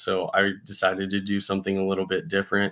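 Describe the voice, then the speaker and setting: This man talks at a fairly quick pace with an American accent and a fairly low pitch, against a quiet background. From Arizona (Scottsdale). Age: 20s. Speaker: college student and chef. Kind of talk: class self-introduction video. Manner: casual with filler words. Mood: calm, reflective. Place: home room. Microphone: webcam.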